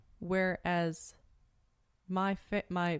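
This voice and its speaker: A woman speaks with a West Virginia accent. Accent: general American, West Virginia. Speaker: podcast co-host. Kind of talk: casual chat.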